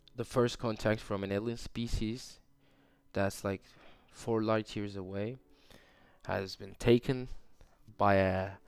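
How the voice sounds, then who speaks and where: A man with a fairly low pitch speaks at a very slow pace in a monotone, flat intonation. Long, frequent pauses break up his speech. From Turkey. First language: Turkish. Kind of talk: casual podcast ramble. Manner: rambling, hesitant.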